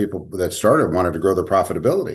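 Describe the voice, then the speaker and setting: With a very deep, low pitch, a man speaks over a quiet background. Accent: American. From Sacramento, California. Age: 60s. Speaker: dental management company CEO. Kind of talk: interview.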